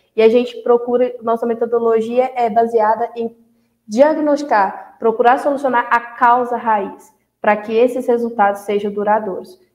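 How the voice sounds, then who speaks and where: With monotone, flat intonation, a woman delivers her words at a moderate pace. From Brazil, Goiás (Nova América). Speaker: animal scientist and dairy consultant. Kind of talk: interview.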